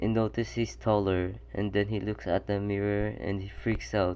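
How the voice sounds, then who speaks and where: A man's fairly low, mumbling voice at a moderate pace, with very wide pitch swings. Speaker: fan fiction storyteller. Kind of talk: casual story narration. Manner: stuttering.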